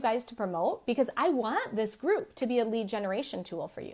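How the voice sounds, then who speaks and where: The speaker has an animated tone with lively intonation. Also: woman. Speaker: business and marketing coach. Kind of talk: live stream training. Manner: fast.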